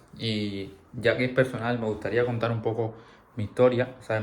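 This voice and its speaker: A man with a Cuban accent talks in a monotone, flat intonation. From Cuba, Camagüey. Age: 20s. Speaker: vlogger. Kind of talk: personal storytelling. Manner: halting.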